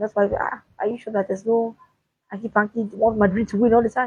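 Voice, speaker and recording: A woman's fairly high, somewhat breathy voice at a fairly quick pace, recorded dry and close with no echo. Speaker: sports commentator. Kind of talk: solo sports talk video. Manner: halting.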